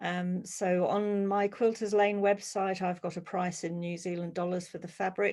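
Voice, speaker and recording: In a British accent, a woman speaks fairly slowly with flat, monotone intonation. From UK. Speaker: quilt pattern designer and teacher. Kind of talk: webinar Q&A. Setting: online video webinar.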